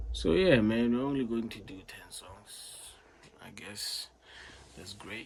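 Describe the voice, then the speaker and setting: A South African accent at a very slow pace with long, frequent pauses. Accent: South African, noticeable. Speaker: music reaction youtuber. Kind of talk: casual reaction commentary. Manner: casual, halting with fillers.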